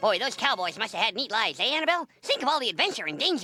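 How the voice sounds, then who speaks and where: A cartoonish character voice rattles along at a very fast pace, fairly high in pitch with very wide pitch swings. Faint music plays in the background. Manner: polite, cheerful, earnest.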